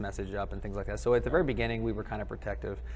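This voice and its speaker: Audible room echo follows a man as he speaks. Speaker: government quality control worker, conference attendee. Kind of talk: casual interview. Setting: conference live stream, wireless mic. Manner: loud; hesitant with fillers.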